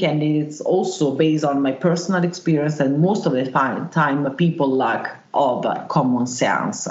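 A woman with an Italian accent speaks at a very deep, low pitch with hardly any pauses, ordinary pitch variation and very even loudness, amid noticeable background noise and audible room echo. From Italy, Milan. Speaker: wilderness tracker and survival instructor. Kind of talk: interview. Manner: hesitant, many filler sounds.

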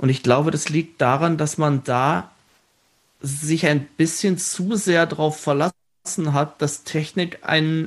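A man's fairly high voice with ordinary pitch variation, a very slow pace and a quiet background. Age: 30s. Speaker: show writer and theme park entertainment director. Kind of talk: casual interview.

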